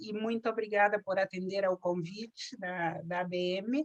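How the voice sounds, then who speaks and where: It is a plain, everyday voice, heard dry and close with no echo. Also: woman. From southern Brazil, Rio Grande do Sul border region. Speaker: cultural association president. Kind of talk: personal testimony.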